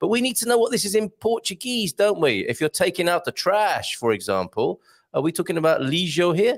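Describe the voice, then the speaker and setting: In a very clean recording with a silent background and a dry, close sound with no echo, a man with a British accent speaks. His high voice moves with lively intonation at a fairly quick pace. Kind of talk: clear, conversational, language-teaching chat.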